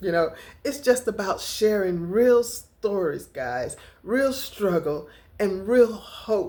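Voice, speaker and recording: The speaker talks at a very slow pace, with very wide pitch swings. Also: woman, fairly high pitch for a woman. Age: 60s. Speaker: lifestyle vlogger. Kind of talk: casual vlog talk to camera.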